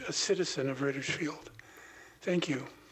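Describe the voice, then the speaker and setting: Over noticeable background noise, the speech moves at a moderate pace with fairly even intonation. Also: man. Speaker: public commenter. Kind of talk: prepared public comment.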